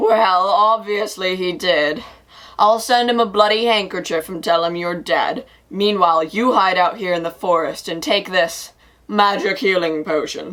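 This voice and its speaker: A woman puts on a raspy character voice. Her pitch sits in the middle of her range, and she speaks at a moderate pace. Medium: stage play. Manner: casual.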